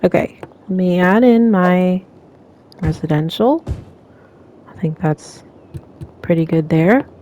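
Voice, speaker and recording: Mumbling, a woman talks at a very slow pace with long, frequent pauses. Her pitch sits in the medium range with ordinary variation, while her loudness swings widely. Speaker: gaming channel host. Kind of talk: gameplay commentary. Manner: hesitant with fillers.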